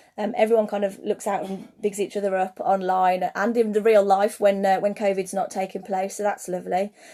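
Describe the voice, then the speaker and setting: A woman with a British accent speaks at a fairly quick pace with hardly any pauses, in a medium pitch and a dark, mellow tone. Her intonation is monotone and flat, and the background is quiet. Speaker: craft maker and online seller. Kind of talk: livestream talk to viewers. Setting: Instagram live stream. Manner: fast.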